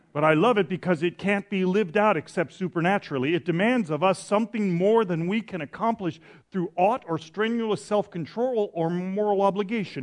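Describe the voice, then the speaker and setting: This man talks at a fairly quick pace in a high pitch, with ordinary pitch variation. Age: 60s. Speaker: pastor. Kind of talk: sermon. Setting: church. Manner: halting.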